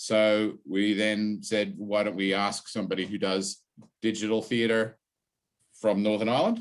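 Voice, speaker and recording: Speaking in an Australian accent, the voice moves at a fairly slow pace with monotone, flat intonation. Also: man, fairly low pitch for a man. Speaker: university drama lecturer. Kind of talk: online session introduction. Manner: hesitant, with fillers.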